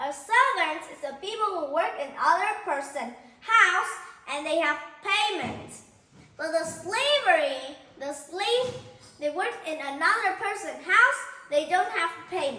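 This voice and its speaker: With audible room echo, a woman uses a raised, projected voice at an extremely high pitch, speaking fairly slowly with long, frequent pauses, lively intonation and big swings in loudness. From Vietnam. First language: Vietnamese. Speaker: teacher. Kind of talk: lesson.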